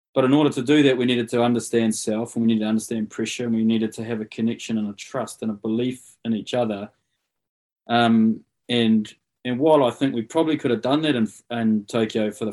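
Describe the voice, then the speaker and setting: With a New Zealand accent, a man speaks at a fairly quick pace. His pitch is medium and his intonation fairly even. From New Zealand, Rotorua. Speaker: rugby coach. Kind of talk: casual interview chat. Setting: live video call.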